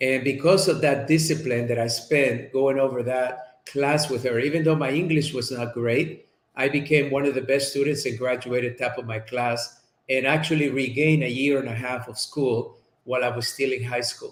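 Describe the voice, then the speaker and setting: A man with a Spanish accent speaks at a moderate pace in a medium pitch, his intonation fairly even. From Colombia. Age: 50s. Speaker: chiropractor and speaker. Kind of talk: interview.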